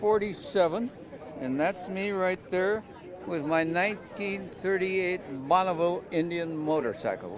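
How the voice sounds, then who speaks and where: Amid noticeable background noise, a man with an American accent and a high pitch speaks at a moderate pace with ordinary pitch variation. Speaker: war veteran. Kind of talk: interview answer. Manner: casual, reminiscing.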